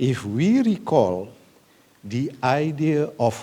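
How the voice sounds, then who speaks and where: A man is speaking. He has an Indonesian accent. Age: 70s. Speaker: government senior advisor. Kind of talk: conference speech.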